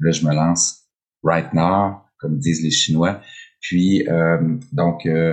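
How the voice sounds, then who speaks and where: Very deep, low male voice, its intonation fairly even. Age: 50s. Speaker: podcast host. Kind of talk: solo podcast monologue, unscripted. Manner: hesitant, many fillers.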